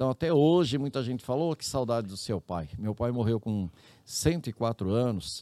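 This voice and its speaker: Here a man speaks with a medium pitch at a moderate pace. His intonation is lively. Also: dry, close sound with no echo. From interior of São Paulo state, Brazil. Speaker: public health ombudsman, former city councillor. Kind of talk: interview.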